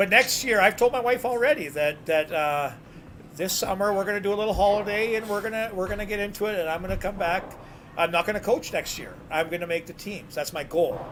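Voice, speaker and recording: Very fast speech in a Canadian accent, with ordinary pitch variation and noticeable background noise. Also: man, high pitch for a man. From New Brunswick, Canada. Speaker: bowler. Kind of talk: casual chat.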